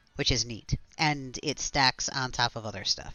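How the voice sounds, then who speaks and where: A man's medium-pitched voice at a moderate pace. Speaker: video game streamer. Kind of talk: casual live stream commentary. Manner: mumbling a little.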